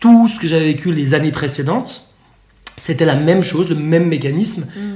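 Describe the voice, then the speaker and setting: The pace here is fairly quick. It is an unremarkable speaking voice, its pitch varying in an ordinary way. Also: man. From Switzerland. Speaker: eating disorder coach. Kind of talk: casual chat. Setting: in person, sitting on a sofa.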